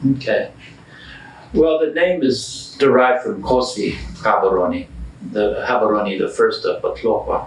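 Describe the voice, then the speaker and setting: A man with a slight North American accent speaks with long, frequent pauses. Noticeable background noise and audible room echo are present. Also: fairly slow pace. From born in US, grew up mostly in Botswana. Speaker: historian and history teacher. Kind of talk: interview.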